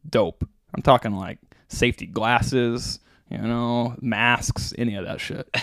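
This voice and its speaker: With an American accent and an ordinary speaking voice, a man at medium pitch talks at a fairly slow pace, with ordinary pitch variation and big swings in loudness. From US Midwest, Branson, Missouri. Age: 20s. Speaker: pro downhill skateboarder. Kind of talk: casual chat.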